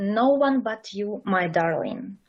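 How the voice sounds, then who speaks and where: A woman is talking at a fairly high pitch. Her speech carries a Russian accent. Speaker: amateur poet. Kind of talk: reading aloud.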